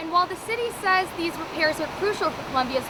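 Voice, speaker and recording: A woman speaks over noticeable background noise. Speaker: student field reporter. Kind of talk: TV news field report. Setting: outdoors.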